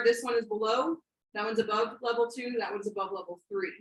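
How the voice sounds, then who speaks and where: The speaker is a woman with a fairly high pitch. She moves at a fairly quick pace. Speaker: robotics coach trainer. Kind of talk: training workshop presentation. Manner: fast; halting, many fillers.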